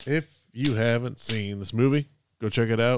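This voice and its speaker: Speaking at a moderate pace with ordinary pitch variation, a man has a plain, everyday voice in a very clean recording with a silent background. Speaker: podcast host. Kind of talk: casual banter, movie discussion. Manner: joking, bantering.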